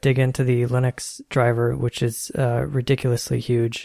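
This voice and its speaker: It is a plain, everyday voice with fairly even intonation. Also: man. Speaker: podcast co-host, software developer. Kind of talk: casual tech discussion. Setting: home desk setup, Skype call.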